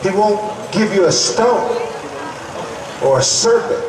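Over noticeable background noise and audible room echo, a man talks at a moderate pace in a high pitch with ordinary pitch variation. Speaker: evangelist preacher. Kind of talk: sermon. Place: tent. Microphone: podium.

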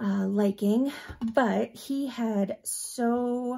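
A woman talks at a very slow pace, with a quiet background. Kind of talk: casual crafting tutorial chat. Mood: relaxed, cheerful. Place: home room.

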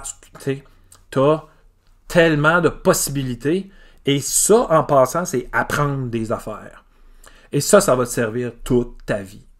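Speaking at a very slow pace with long, frequent pauses, a man swings widely in loudness over ordinary pitch variation, against a quiet background. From Quebec, Îles-de-la-Madeleine; Quebec. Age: 40s. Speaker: teacher. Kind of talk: casual video monologue. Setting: home garage. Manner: hesitant, many fillers. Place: garage. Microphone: phone near.

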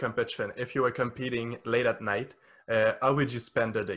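A man with a French accent, medium pitch, flat monotone delivery and moderate pace, over a quiet background. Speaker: podcast host. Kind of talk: interview conversation. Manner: halting. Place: home room. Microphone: studio mic.

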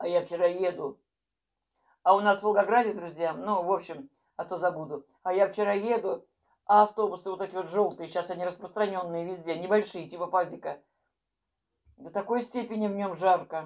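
Against a quiet background, a woman keeps a moderate pace and fairly even intonation, with long, frequent pauses. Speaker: vlogger. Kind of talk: casual vlog chat. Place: kitchen. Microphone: earbuds.

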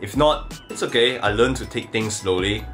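Faint music plays in the background. Over it, a man talks at a moderate pace. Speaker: content creator. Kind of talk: casual vlog chat. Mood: reflective then upbeat. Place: home room. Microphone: phone near.

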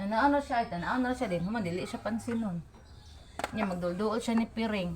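Over noticeable background noise, the voice moves at a very fast pace with ordinary pitch variation. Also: woman, fairly high pitch for a woman. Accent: Philippine. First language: Cebuano (speaking Tagalog). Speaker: vlogger. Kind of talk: casual home vlog narration.

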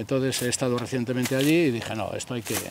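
A man talks at a very fast pace, the sound dry with no echo and light background noise. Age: 60s. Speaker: olive grove owner. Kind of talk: interview. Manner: halting. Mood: earnest, passionate about land. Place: farm machine. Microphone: handheld.

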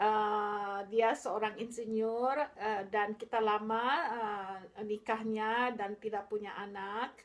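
With a fairly high pitch, a woman speaks very slowly in flat, monotone intonation. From Makassar, Indonesia, then England from age 13. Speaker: vlogger. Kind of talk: vlog monologue. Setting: home video recording. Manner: halting, many fillers. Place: home room. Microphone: phone near.

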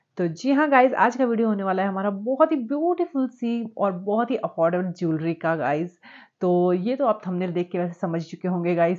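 The background is quiet. A woman talks at a moderate pace. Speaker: lifestyle vlogger. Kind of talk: casual vlog chat. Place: home room. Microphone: lapel.

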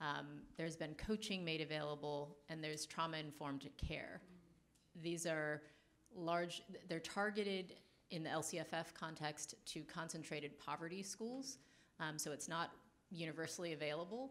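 With an American accent, a woman speaks in a very deep, low pitch. Her pitch varies in an ordinary way. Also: moderate pace. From Los Angeles County; California. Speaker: policy executive; panelist. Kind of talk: panel discussion. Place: hall. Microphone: handheld.

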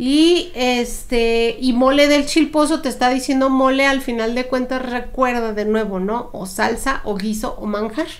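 This woman's voice sits high, with ordinary pitch variation. She speaks at a fairly slow pace. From Mexico. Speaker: podcast co-host, cook; podcast co-host. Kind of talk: casual chat about historical recipes. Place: home room. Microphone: studio mic.

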